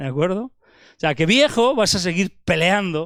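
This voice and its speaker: In a very clean recording with a silent background, a man speaks in a high voice with lively intonation. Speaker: preacher. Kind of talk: sermon.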